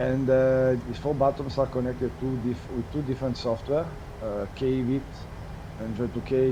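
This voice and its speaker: A man with an Italian accent talks at a fairly quick pace and a medium pitch. Audible room echo and noticeable background noise fill the recording. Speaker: streamer, co-host of flight simulator stream. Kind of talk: live-stream commentary. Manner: halting, with hesitations.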